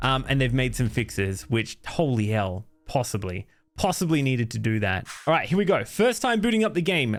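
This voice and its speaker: A man with an Australian accent and a medium pitch, talking at a moderate pace over background music. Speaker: horror game streamer. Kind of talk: gameplay commentary.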